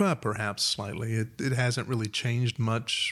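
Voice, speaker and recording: At a moderate pace, a man with an American accent talks in a normal speaking voice at a medium pitch. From Huntsville, Alabama (US South). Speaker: music shop co-owner and musician. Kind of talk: interview conversation.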